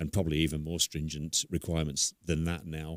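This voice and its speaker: At a fairly quick pace, a man with an English accent speaks in a very deep, low, flat monotone, recorded very cleanly against a silent background with a dry, close sound and no echo. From England. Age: 60s. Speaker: guest on gun ownership. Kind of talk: interview.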